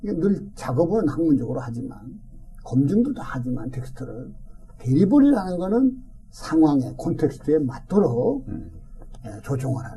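With audible room echo around him, a man speaks at a moderate pace in a dark, mellow tone, his fairly high pitch carrying lively intonation, vocal fry and big swings in loudness. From South Korea, Daejeon (Chungcheong). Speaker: retired pastor. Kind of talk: interview, life story.

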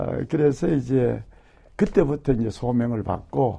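Speaking at a fairly slow pace, a man has a dark, mellow tone and ordinary pitch variation. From South Korea, Gyeongbuk. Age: 70s. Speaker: retired pastor and theologian. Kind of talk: casual interview recalling life story.

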